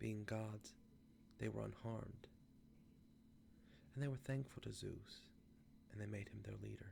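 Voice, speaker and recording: A soft-spoken man at a very slow pace. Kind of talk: ASMR reading of a myth.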